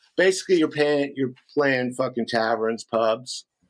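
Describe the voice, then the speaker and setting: This man speaks in a fairly high pitch with an American accent. His pitch varies in an ordinary way. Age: 60s. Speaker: rock guitarist. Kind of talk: casual interview. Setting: podcast interview.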